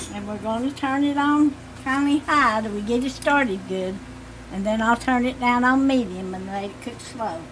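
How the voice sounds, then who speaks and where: Someone with a Southern Appalachian accent talks at a moderate pace with big swings in loudness, against noticeable background noise. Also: woman, high pitch for a woman, ordinary pitch variation. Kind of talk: cooking demonstration.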